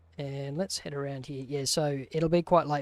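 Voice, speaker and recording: This man has an Australian accent and a fairly high pitch, and he speaks at a very fast pace. His intonation stays fairly even, and the recording is very clean with a silent background. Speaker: gaming streamer. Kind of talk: live gameplay stream commentary. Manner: casual, conversational.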